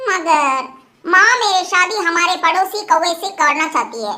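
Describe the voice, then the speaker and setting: A cartoonish character voice, female-sounding and squeaky at an extremely high pitch, moves at a fairly slow pace. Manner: earnest, trusting.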